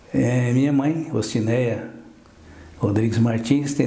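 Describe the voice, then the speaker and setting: A man speaks at a medium pitch with fairly even intonation and a fairly slow pace. Room echo is audible. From southern Brazil, Porto União, Santa Catarina. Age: 70s. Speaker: orthopedic doctor. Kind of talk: TV interview.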